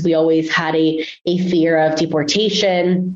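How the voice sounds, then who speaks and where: In a Spanish accent, a woman speaks with a fairly low pitch and monotone, flat intonation. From Guatemala, raised in San Francisco Bay Area from age six. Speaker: family therapist trainee. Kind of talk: interview. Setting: studio.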